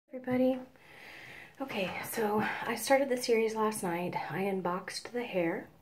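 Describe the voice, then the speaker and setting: A soft-spoken woman talks at a fairly high pitch with long, frequent pauses. Noticeable background noise runs behind her. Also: ordinary pitch variation, moderate pace. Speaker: beauty vlogger. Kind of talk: hair tutorial talk to camera. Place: home room. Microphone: phone near.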